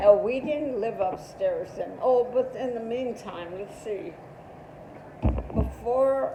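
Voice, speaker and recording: Amid noticeable background noise, a woman with a high voice speaks at a very slow pace with long, frequent pauses, ordinary pitch variation and big swings in loudness. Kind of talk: interview answer. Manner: reminiscing, hesitant.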